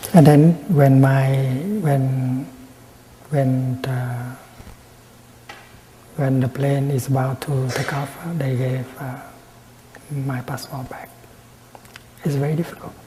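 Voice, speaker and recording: A soft-spoken man talks very slowly with long, frequent pauses and a monotone, flat intonation. His loudness swings a lot, over noticeable background noise. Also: medium pitch for a man. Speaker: Buddhist monk and teacher giving a dharma talk. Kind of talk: dharma talk / teaching.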